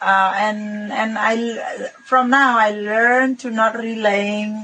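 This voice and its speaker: A woman's fairly high voice with a non-native accent, very slow and fairly even in intonation, against noticeable background noise. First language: Balinese. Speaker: resort owner and property investor. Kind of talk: podcast interview. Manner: halting.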